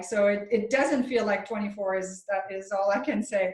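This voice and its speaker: A woman with a French Canadian accent speaks at a fairly slow pace, her fairly high voice carrying fairly even intonation. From French Canada. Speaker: chiropractor and author. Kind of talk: interview.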